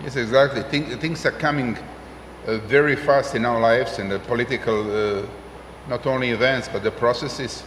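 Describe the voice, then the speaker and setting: A man at medium pitch with fairly even intonation, audible room echo and noticeable background noise. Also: moderate pace. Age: 60s. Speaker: senior statesman / former politician. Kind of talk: panel discussion. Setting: conference stage with audience. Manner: halting, many fillers.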